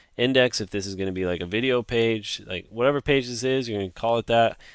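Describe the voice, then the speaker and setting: A man with an unremarkable speaking voice, fairly low pitch, lively intonation, and a quiet background. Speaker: web design tutorial maker. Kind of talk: screen-recorded tutorial.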